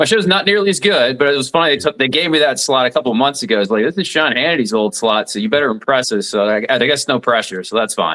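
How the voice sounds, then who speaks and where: With a slight Southern US accent, the speaker rushes along at a very fast pace, pitch swinging very widely and hardly any pauses. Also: man, medium pitch for a man. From southeast Alabama (Dothan). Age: 40s. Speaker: radio talk show host, former lawyer. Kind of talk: interview.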